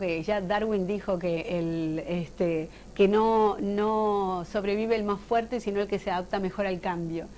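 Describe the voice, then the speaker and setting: A woman with a normal speaking voice talks at a fairly slow pace and a medium pitch, with ordinary pitch variation. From Uruguay. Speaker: actress and voice actor. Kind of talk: interview.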